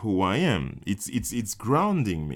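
A man's fairly low voice in a French accent. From Martinique. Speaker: filmmaker. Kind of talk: interview. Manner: halting, many fillers.

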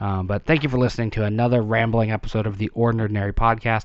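A man at medium pitch and a fairly quick pace. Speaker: podcast host. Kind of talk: solo monologue. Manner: rambling, hesitant with fillers.

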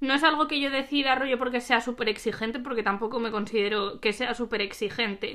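A woman's high-pitched voice at a fairly quick pace, with hardly any pauses and fairly even intonation. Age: 20s. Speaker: host's best friend. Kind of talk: casual chat. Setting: recording at home together.

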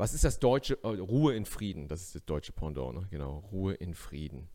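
A man with a very deep, low pitch and a dark, mellow tone talks at a moderate pace, using lively intonation and vocal fry. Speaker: stand-up comedian. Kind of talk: casual chat. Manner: animated.

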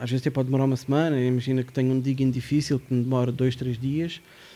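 Medium-pitched male speech with a dark, mellow tone. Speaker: hip-hop producer. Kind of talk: casual chat.

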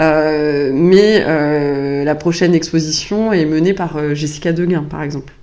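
The voice has monotone, flat intonation. Audible room echo and noticeable background noise are both present. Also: woman. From France, Vendée (countryside). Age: 40s. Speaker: museum director. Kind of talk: interview. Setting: office. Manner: hesitant, many fillers and repetitions.

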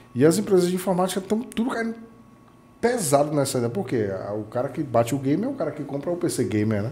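A man speaks with a Bahian accent at a fairly quick pace. His pitch swings very widely. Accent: Bahian Brazilian Portuguese. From Bahia, Brazil (Itajuípe). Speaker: computer modder and tech event ambassador. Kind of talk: interview storytelling.

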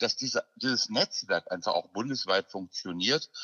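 A man is speaking. His pace is moderate. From Ruhr area, Germany (Gladbeck). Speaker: actor and singer. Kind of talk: interview. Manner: halting, many fillers.

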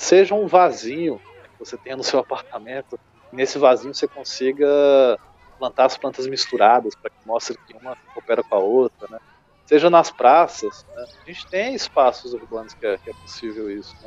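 His loudness swings widely as this man talks at a moderate speed. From Brazil, Goiás (Chapada dos Veadeiros). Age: 30s. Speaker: agroforestry farmer and consultant. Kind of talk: interview. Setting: remote call.

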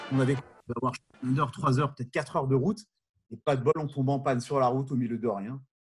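A man's very fast, somewhat breathy speech broken by long, frequent pauses. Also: medium pitch for a man, ordinary pitch variation. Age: 40s. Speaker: former summer camp counselor. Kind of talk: casual chat.

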